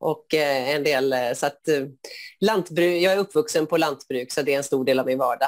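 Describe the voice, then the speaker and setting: The voice has ordinary pitch variation. The background is quiet. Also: woman. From Sweden, Skövde area (Västergötland); Sweden. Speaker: board candidate, schoolteacher; candidate, schoolteacher. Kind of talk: interview answers. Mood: friendly, smiling. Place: home room. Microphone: earbuds.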